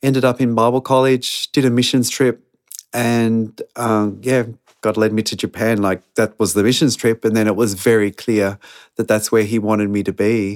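A man with an Australian accent at a moderate pace, medium pitch, monotone, flat intonation and very even loudness, in a dry, close sound with no echo. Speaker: missionary. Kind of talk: interview.

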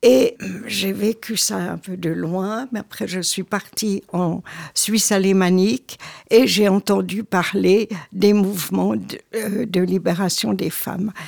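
Very slowly, a woman of medium pitch speaks with ordinary pitch variation and vocal fry. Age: 80s+. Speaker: retired journalist and local politician. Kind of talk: casual chat.

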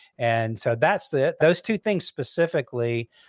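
A man speaks at a moderate pace with a Southern US accent and a medium pitch. The sound is dry and close, with no echo. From US South (Alabama, then Memphis, Tennessee). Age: 60s. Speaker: songwriter and music executive. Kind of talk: casual interview chat.

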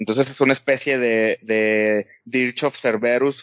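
A man with a Mexican accent speaks at a medium pitch in a monotone, flat intonation. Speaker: video game podcast co-host. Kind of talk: casual chat.

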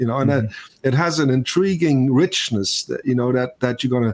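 At a fairly quick pace, a man with an ordinary speaking voice talks at a fairly high pitch with lively intonation. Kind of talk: casual interview chat. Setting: video call.

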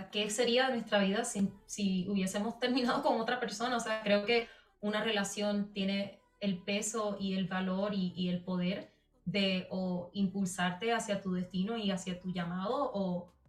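A woman at medium pitch, fairly slow and fairly even in intonation, over noticeable background noise. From Puerto Rico. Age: young. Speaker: singer. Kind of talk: casual interview.

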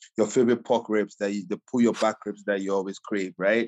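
With a Ghanaian accent, a man speaks at a fairly low pitch. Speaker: chef and caterer. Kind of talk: casual interview.

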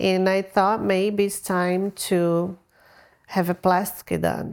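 Recorded very cleanly against a silent background, a woman with a Brazilian accent speaks in a medium pitch with fairly even intonation. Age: 40s. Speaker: cosmetic surgery patient. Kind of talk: casual interview.

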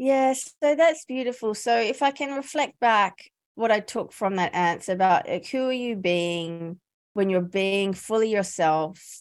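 A normal speaking voice from a woman, fairly high in pitch, with lively intonation at a fairly slow pace on a very clean recording with a silent background. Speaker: career coach and podcaster. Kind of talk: interview.

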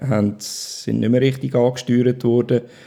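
A man speaks with ordinary pitch variation. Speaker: stroke survivor. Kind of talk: testimony. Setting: at home.

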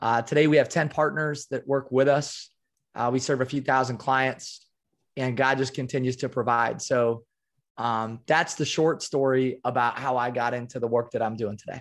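In an American accent, a man with an unremarkable speaking voice and a medium pitch talks at a moderate pace with fairly even intonation, recorded very cleanly against a silent background. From US Midwest (small-town Iowa). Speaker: performance coach and keynote speaker. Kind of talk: casual interview.

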